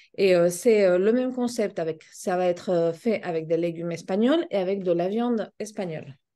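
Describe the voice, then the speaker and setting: In a slight Spanish accent, a woman speaks with a dark, mellow tone at medium pitch, using ordinary pitch variation, a moderate pace and hardly any pauses. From Spain. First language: Spanish (speaking French). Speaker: pet food business owner. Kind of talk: interview.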